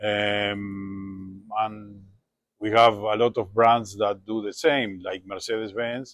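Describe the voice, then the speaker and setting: A man's fairly low, monotone, flat voice with a Spanish accent, at a very slow pace. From Uruguay. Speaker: classic car dealer. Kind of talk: interview monologue.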